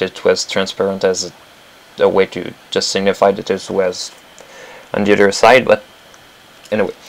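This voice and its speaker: A man talks at a moderate pace with a French accent. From Quebec. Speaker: animator. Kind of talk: tutorial. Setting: live stream. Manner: halting.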